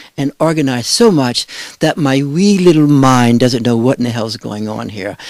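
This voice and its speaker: Fairly high in pitch, a man's voice carries lively intonation. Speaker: meditation and philosophy teacher. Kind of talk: lecture. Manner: fast.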